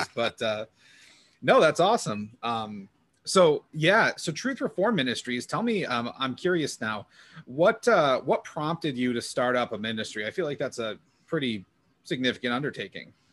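At a moderate pace, a man speaks with a fairly high pitch and very wide pitch swings. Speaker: podcast host. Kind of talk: casual interview.

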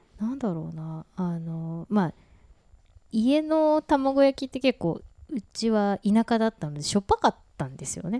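A woman speaks at a fairly high pitch with a dark, mellow tone, very wide pitch swings and big swings in loudness. The recording is very clean, dry and close, with no echo and a silent background. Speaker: podcast co-host. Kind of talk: casual chat. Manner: relaxed, slow-paced.

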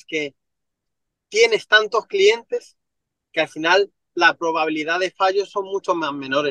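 A man speaks at a fairly slow pace with ordinary pitch variation and a bright, sharp tone, his loudness swinging widely in a dry, close recording with no echo. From Madrid, Spain (Villaverde). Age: 20s. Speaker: real estate entrepreneur. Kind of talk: interview.

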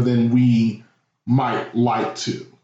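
A man speaks with audible room echo. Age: 30s. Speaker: podcast guest. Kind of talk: casual chat.

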